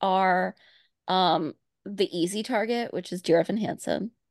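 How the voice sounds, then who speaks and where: In a dry, close sound with no echo and a quiet background, a woman speaks at a fairly slow pace with ordinary pitch variation. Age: 30s.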